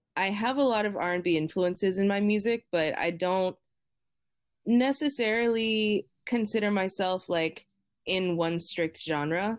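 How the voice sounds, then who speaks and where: On a very clean recording with a silent background, a woman with an American accent speaks in a plain, everyday voice at a fairly slow pace, keeping very even loudness, medium pitch and ordinary pitch variation. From Boston, Massachusetts, US. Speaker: singer-songwriter and music teacher. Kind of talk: casual interview chat.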